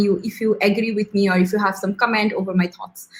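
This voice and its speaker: A woman's fairly high voice, fairly even in intonation and fairly quick, amid noticeable background noise. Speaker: service designer. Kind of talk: presentation. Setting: live stream. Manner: fast.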